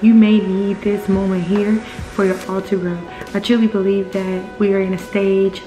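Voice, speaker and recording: A woman speaks at a moderate pace in a medium pitch. Clear music plays in the background. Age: 20s. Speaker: military veteran. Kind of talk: casual talk to camera. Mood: earnest, encouraging. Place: home room. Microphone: webcam.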